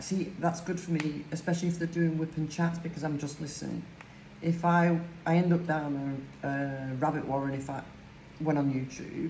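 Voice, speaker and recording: A woman's very deep, low voice at a moderate pace, monotone and flat, with audible room echo and noticeable background noise. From northern England, Lancashire. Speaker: crafting YouTuber. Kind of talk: casual chat while crafting.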